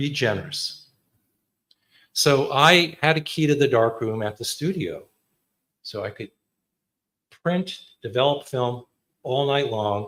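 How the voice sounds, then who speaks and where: The recording is very clean with a silent background, and a man with a New Jersey accent speaks at a fairly high pitch with ordinary pitch variation. He goes at a fairly slow pace with long, frequent pauses. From US Northeast, Clifton, New Jersey. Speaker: photographer. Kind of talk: artist talk. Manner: casual.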